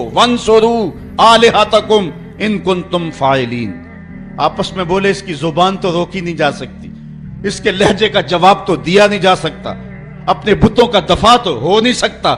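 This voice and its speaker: Over background music, a man with a high voice speaks in a passionate tone, his pitch varying in an ordinary way. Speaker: Islamic preacher. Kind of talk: Islamic sermon (bayan) on a prophet's story. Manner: passionate, emphatic, oratorical.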